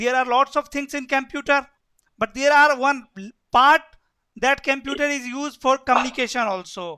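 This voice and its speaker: A man with an Indian accent, an extremely high pitch and a bright, sharp tone, his voice raised and projected at a moderate pace with fairly even intonation, in a dry, close sound with no echo. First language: Hindi. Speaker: networking instructor. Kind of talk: lecture.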